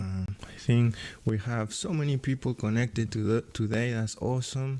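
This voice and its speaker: A man speaks with a Peruvian accent in a medium pitch. His tone is dark and mellow, with ordinary pitch variation. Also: moderate pace, very clean recording, silent background. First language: Spanish. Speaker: AutoCAD instructor and livestream host. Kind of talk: live stream tutorial, reading chat comments. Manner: animated.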